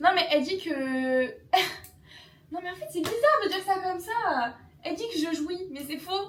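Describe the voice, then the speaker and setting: A woman speaks at an extremely high pitch with an animated tone, lively intonation and big swings in loudness. Long, frequent pauses break her speech, and audible room echo surrounds it. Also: moderate pace. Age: 20s. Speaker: vlogger. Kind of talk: casual chat.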